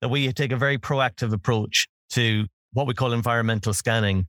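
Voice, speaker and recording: In an Irish accent, a man with a medium pitch speaks at a fairly quick pace with ordinary pitch variation. The recording is very clean with a silent background, and the sound is dry and close, with no echo. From Ireland. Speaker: fraud tech co-founder, ex law enforcement. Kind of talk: interview conversation.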